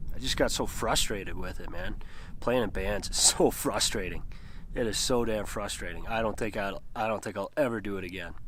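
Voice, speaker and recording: Audible room echo surrounds a man speaking at a fairly quick pace and a fairly low pitch. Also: ordinary pitch variation. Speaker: outdoor video maker, solo backpacker and fly fisher. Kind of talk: casual vlog monologue. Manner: casual, swearing, self-deprecating.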